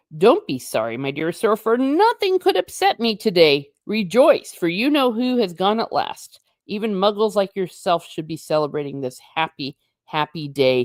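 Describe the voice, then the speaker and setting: A squeaky, put-on character voice at a middle pitch and moderate pace. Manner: joyful, giddy.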